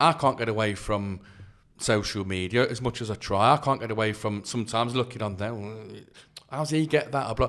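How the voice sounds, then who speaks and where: At a fairly quick pace, a man with an East Midlands accent speaks at a medium pitch. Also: ordinary pitch variation. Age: 40s. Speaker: author and youth worker. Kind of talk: podcast interview.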